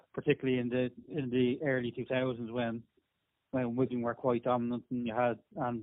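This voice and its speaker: The pace is fairly quick as this man talks. His delivery has a flat, monotone intonation. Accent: Irish. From Ireland, Dublin. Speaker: rugby league team manager. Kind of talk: podcast interview.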